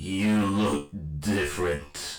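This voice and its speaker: Putting on a character voice, a man speaks with a raspy, very deep, low pitch and a slight echo. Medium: read story. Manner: halting, grim.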